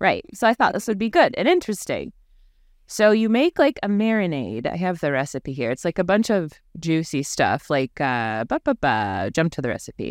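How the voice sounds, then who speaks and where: A woman with a medium pitch and vocal fry speaks in an animated tone with very wide pitch swings, in a dry, close sound with no echo on a very clean recording with a silent background. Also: moderate pace. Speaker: podcast host. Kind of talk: casual chat. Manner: animated, laughs often.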